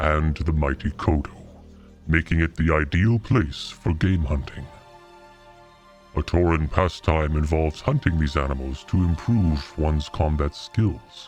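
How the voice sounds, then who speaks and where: A man's put-on character voice, very deep and low, at a moderate pace with clear music in the background. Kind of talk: video game lore narration.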